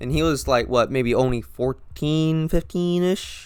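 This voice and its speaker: A man with an American accent speaks at a fairly slow pace with ordinary pitch variation in a very clean recording with a silent background. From coastal Georgia, US. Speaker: podcaster. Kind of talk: casual personal chat. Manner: hesitant, many fillers.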